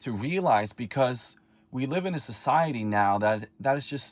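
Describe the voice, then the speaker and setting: On a very clean recording with a silent background, a man speaks at a medium pitch and moderate pace with lively intonation. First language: not English. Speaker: self-improvement vlogger. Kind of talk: personal vlog monologue. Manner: halting.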